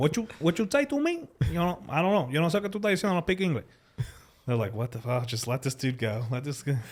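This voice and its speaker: This man speaks very fast at a fairly high pitch, his voice somewhat breathy. His pitch swings very widely. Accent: Spanish. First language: Spanish. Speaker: podcast host. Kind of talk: casual chat. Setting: studio. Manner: animated.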